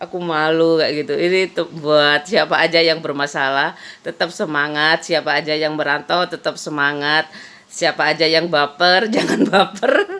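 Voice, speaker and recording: A woman's very deep, low voice in a Madurese accent, at a moderate pace with fairly even intonation. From East Java, Madura-speaking village near Probolinggo. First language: Madurese (speaking Indonesian). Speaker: vlogger. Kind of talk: casual vlog monologue. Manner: rambling, conversational.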